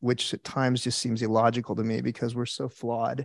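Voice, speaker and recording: A man speaks in a monotone, flat voice. The recording is very clean and dry, close with no echo and a silent background. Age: 50s. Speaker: churchgoer sharing testimony. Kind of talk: testimony. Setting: church. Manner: halting.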